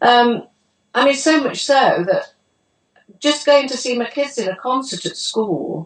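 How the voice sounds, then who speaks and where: A woman with a British accent and a high-pitched voice. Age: 70s. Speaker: testimonial giver. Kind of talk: testimony.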